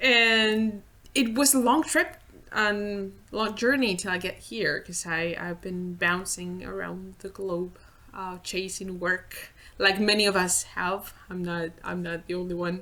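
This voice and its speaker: The voice has a bright, sharp tone and a Spanish accent. It moves at a fairly slow pace with ordinary pitch variation. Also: woman, medium pitch for a woman. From Spain. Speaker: visual effects layout artist. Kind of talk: casual interview. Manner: halting, repeats words.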